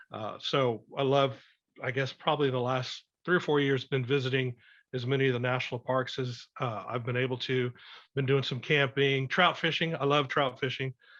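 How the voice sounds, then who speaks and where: Against a quiet background, a man with an American accent speaks at a moderate pace in a monotone, flat intonation. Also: medium pitch for a man. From South Texas. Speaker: survival instructor. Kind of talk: podcast interview. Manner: hesitant, many filler words.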